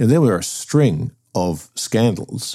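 With a British accent, a man talks in a dark, mellow tone at a fairly slow pace, with lively intonation. The recording is very clean, with a silent background. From UK. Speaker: podcast host. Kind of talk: casual chat.

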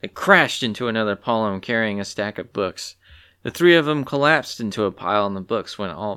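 A natural voice reads the words out loud.

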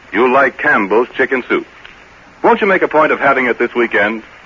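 Very wide pitch swings mark a man's voice with a warm tone. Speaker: radio announcer. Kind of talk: sponsor commercial reading. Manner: warm, folksy, persuasive.

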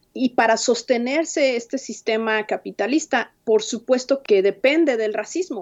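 Against a quiet background, a woman uses a normal speaking voice, fairly high in pitch, with ordinary pitch variation. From Mexico City. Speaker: immigrant rights organizer. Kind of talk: interview.

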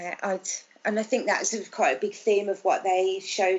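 A woman with a Birmingham accent at a moderate pace and monotone, flat intonation. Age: 40s. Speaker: mother of a child with Down syndrome. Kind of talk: interview. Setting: video call. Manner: halting.

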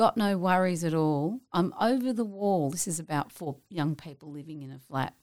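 Speaking with an Australian accent, a woman uses a fairly low pitch and lively intonation with hardly any pauses. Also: moderate pace, big swings in loudness. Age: 50s. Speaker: television actress. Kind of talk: casual interview chat.

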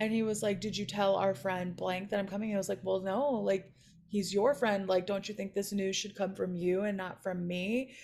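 In a normal speaking voice, a woman talks at a moderate pace and medium pitch with an American accent. Her intonation is fairly even, and the recording is very clean with a silent background. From Chicago area, US. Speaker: comedian. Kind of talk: casual chat.

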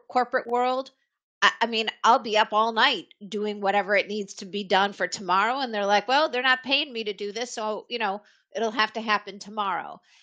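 An ordinary speaking voice comes at a moderate pace with fairly even intonation. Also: woman. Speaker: HR executive. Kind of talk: panel discussion. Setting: video call.

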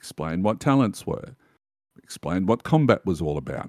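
Dry and close with no echo, on a very clean recording with a silent background, a man with an Australian accent talks in a fairly low pitch with lively intonation. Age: 50s. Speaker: tabletop game writer. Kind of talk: casual chat.

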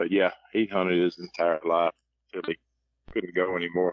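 At a moderate pace, a man with a very deep, low pitch speaks in a Southern US accent. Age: 50s. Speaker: coon hunter. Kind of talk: casual chat.

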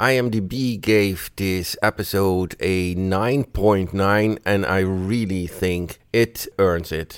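Over a silent background in a very clean recording, a man with a fairly low pitch talks at a very slow pace with fairly even intonation. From Netherlands. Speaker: listener sending voice feedback. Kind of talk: recorded voice message.

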